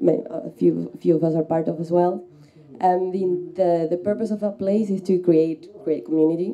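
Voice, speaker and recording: Pitch varies in an ordinary way as the speech goes along at a moderate pace. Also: woman. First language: not English. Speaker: panelist, community hub co-founder. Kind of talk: panel discussion. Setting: stage with audience. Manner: halting.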